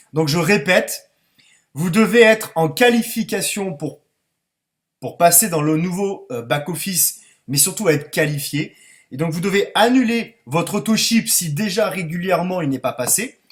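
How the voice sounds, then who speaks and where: A man's high voice at a fairly slow pace, with lively intonation. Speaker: network marketing distributor. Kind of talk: online conference presentation. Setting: online conference call.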